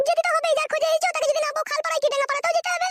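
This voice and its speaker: Doing a cartoonish character voice, a woman speaks at a very fast pace with extremely high pitch and very wide pitch swings. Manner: sharp, scolding.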